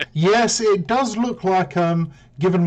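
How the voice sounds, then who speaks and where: Somewhat breathy, a man speaks with a British accent and ordinary pitch variation. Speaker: game commentator. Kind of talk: live commentary. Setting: live stream.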